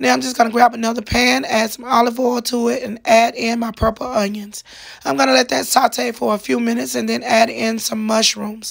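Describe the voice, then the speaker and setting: With lively intonation, a woman talks at a fairly quick pace in a fairly high voice. Noticeable background noise runs beneath her. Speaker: cooking video creator. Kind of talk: tutorial. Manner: casual.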